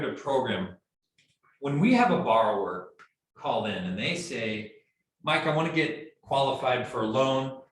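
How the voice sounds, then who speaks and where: His pitch swings very widely as he speaks. The man keeps a moderate pace, and room echo is audible. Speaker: mortgage loan officer. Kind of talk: training presentation.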